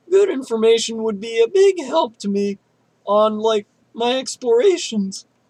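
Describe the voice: Against a quiet background, the speaker gives a plain reading aloud.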